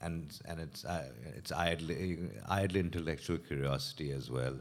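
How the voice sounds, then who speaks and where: A man's very deep, low pitch with vocal fry, ordinary pitch variation and a fairly slow pace. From Pakistan, Karachi. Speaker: novelist. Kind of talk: panel discussion. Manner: halting.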